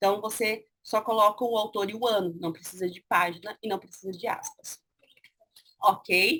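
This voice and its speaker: A woman's bright, sharp voice sits fairly high, with ordinary pitch variation and a moderate pace. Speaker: university lecturer. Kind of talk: online lecture.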